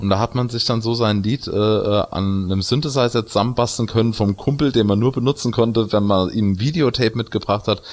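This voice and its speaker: In a plain, everyday voice, a man talks at a fairly quick pace with hardly any pauses, very even loudness, medium pitch and ordinary pitch variation. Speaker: video game podcast co-host. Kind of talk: casual chat.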